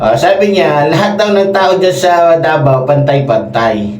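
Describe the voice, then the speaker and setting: Amid noticeable background noise, the speaker sounds angry and animated, moving at a fairly slow pace with ordinary pitch variation. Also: man. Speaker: political commentator. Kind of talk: heated political rant. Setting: solo show, commenting on clips. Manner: angry, insulting, animated; emphatic, repeats for effect.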